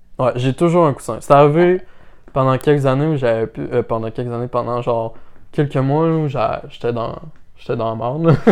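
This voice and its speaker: A man with a Quebec accent speaks at a medium pitch. His pace is moderate and his pitch variation ordinary. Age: 20s. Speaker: podcast co-host. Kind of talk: casual chat.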